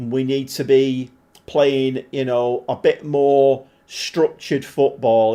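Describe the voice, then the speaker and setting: A man speaks with a Mancunian accent. His tone is dark and mellow. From Manchester, northern England. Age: 40s. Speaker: gaming live streamer. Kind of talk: casual live stream chat while gaming. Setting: live stream. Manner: casual, chatty with filler words.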